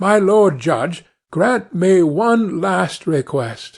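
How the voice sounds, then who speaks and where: Putting on a character voice, a man speaks at a very slow pace with a high pitch and lively intonation. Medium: read story.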